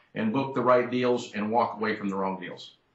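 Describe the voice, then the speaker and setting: A man speaks at a fairly quick pace in an ordinary speaking voice, his pitch medium. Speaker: champion auctioneer and convention speaker. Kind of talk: interview answer about presentations.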